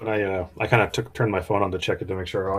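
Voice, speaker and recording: Very fast speech comes from a man whose pitch sits fairly low. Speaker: RC car hobbyist. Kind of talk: casual live stream chat. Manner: loud.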